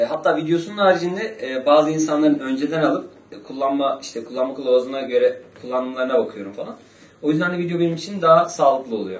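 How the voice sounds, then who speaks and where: A man with a fairly high pitch speaks at a very fast pace, with lively intonation and big swings in loudness. Audible room echo surrounds his voice. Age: 30s. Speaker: street interviewee; interviewee. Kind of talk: street interview. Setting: outdoors on the street. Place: meeting room. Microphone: camera far.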